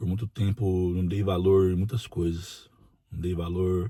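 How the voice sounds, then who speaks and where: At a very slow pace, a man speaks with very deep, low pitch, a dark, mellow, somewhat breathy tone, and fairly even intonation, the sound dry and close with no echo. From Brazil, interior of São Paulo state. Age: 40s. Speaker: prison officer and union president. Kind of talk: personal testimony.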